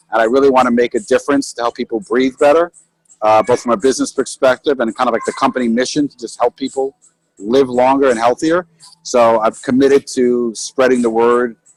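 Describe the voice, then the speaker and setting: Music plays in the background as a man talks at a very fast pace. His medium-pitched voice has fairly even intonation and a dry, close sound with no echo. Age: 80s+. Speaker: halotherapy business owner. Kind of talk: webinar talk.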